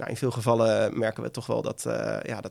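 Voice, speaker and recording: A man speaks at a moderate pace. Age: 30s. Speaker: entrepreneur, former professional poker player. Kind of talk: interview. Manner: halting.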